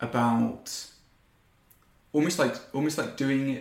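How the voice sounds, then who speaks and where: This is a man speaking. His pitch is fairly high. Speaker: podcast host. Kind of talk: casual interview chat.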